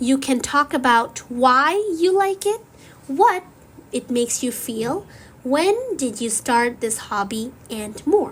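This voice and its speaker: At a very slow pace, a woman with a high pitch speaks with very wide pitch swings. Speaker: English learning podcast host. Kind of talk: slow scripted teaching monologue.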